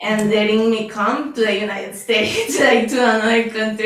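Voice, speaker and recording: A woman at a medium pitch and moderate pace, with fairly even intonation and noticeable background noise. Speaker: lay practitioner. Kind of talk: personal sharing.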